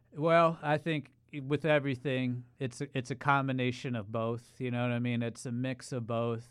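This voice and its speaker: With a plain, everyday voice, a man speaks at medium pitch and with fairly even intonation. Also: moderate pace. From Ohio. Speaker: social media creator. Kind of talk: casual chat.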